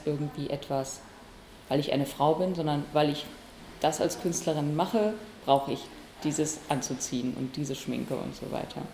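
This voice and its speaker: A woman with a very deep, low pitch, fairly even intonation, and a moderate pace. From Bielefeld, Germany. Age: 20s. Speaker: comedian and musician. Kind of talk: interview.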